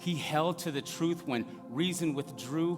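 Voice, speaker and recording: A man talks with lively intonation. Music can be heard in the background. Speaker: spoken word performer. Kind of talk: spoken word poetry reading, rhythmic rhymed verse.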